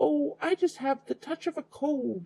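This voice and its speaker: A man uses a croaky, put-on character voice at an extremely high pitch. He talks at a moderate pace. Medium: read story. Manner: sly, fake sweetness.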